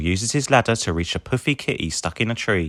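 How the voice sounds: With a fairly bright tone and lively intonation, a man talks at a fairly quick pace on a very clean recording with a silent background.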